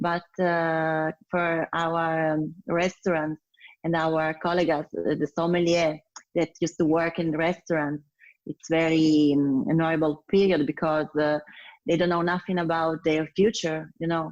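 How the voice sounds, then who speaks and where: Monotone, flat delivery at a fairly slow pace, in an Italian accent. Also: woman, fairly low pitch for a woman. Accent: Italian, non-native English. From Italy, Piedmont (Turin). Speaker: sommelier. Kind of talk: interview. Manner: hesitant, many fillers.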